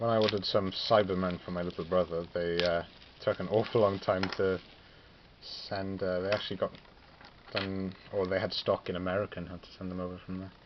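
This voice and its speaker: A man with a Welsh accent and a very deep, low pitch, talking at a fairly quick pace with monotone, flat intonation amid noticeable background noise. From Wales, Pembrokeshire. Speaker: hobbyist wargamer, student. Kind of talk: casual vlog ramble. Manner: casual, hesitant with fillers.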